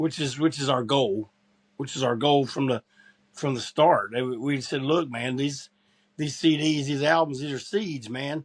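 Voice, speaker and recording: This man has a fairly high pitch, ordinary pitch variation and an unremarkable speaking voice. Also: fairly slow pace, very clean recording, silent background. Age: 60s. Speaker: punk rock musician, band frontman. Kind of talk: podcast interview.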